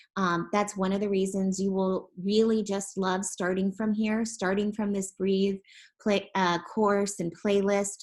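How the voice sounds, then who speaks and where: The delivery is fairly slow and monotone, with flat intonation. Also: woman, medium pitch for a woman. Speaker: education platform representative. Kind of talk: webinar presentation.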